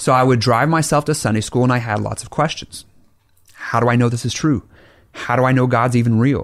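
The speaker has an American accent and an unremarkable speaking voice, moving at a fairly quick pace with fairly even intonation. The recording is very clean, with a silent background. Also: man, medium pitch for a man. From Oklahoma, US. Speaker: Baptist pastor. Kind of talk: casual debate conversation. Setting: studio.

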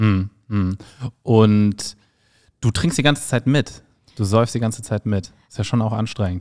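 With an animated tone and ordinary pitch variation, a man speaks in a fairly low voice at a fairly slow pace. Long pauses come often, over a quiet background. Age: 40s. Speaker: podcast host and stand-up comedian. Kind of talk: casual interview. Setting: studio with camera. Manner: joking, animated. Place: studio. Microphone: handheld.

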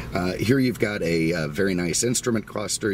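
Against light background noise, a man speaks at a moderate pace with a dry sound and no echo. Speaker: car dealer reviewer. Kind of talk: car review walkaround commentary. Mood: relaxed, jokey. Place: car. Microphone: phone near.

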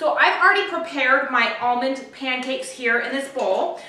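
With a raised, projected voice, a woman speaks at a moderate pace and ordinary pitch variation amid audible room echo. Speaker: home cooking host. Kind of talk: tutorial. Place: kitchen. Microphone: camera far.

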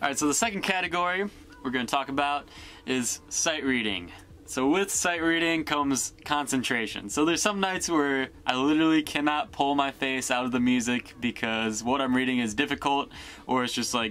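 Faint background music under a man's moderately paced speech. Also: ordinary pitch variation. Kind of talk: casual vlog chat. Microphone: phone near.

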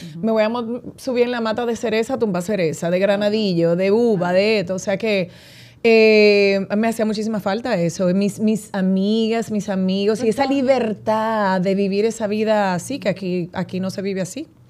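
A woman with a normal speaking voice at medium pitch, moderate pace, fairly even intonation and hardly any pauses, in a very clean recording with a silent background. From Dominican Republic, San Francisco de Macorís. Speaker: radio host and actress. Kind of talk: casual interview chat.

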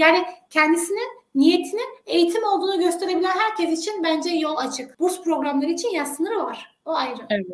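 A woman speaks at an extremely high pitch, fairly quickly, with lively intonation. Audible echo fills the room. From Turkey. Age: 30s. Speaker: education consultant; guest. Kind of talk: interview. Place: home room. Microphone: webcam.

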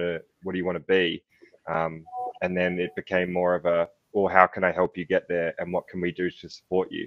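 A man speaks with an Australian accent. His pitch is very deep and low. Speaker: youth mental health program founder, panelist. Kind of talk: informal, conversational. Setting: online summit panel.

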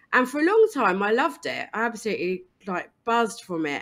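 The speaker has an energetic tone and a southern English accent. Pitch swings very widely at a fairly quick pace. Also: woman. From eastern England. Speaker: diversity and inclusion consultant. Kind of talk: interview.

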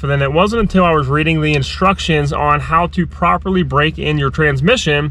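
The sound is dry with no echo as a man talks. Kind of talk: casual vlog chat. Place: car. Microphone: phone near.

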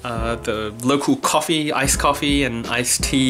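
Clear music sounds in the background. A man speaks at a fairly slow pace with ordinary pitch variation. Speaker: vlogger. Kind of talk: casual vlog chat. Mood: cheerful, laughing at times. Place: home room. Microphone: phone near.

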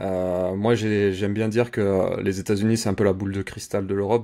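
Here a man with a dark, mellow tone speaks at a moderate pace in a fairly low pitch. His intonation is monotone and flat, and the background is quiet. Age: 30s. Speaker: Amazon advertising campaign manager; interview guest. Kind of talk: interview; interview answer. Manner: hesitant, many fillers. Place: home room. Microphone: video call.

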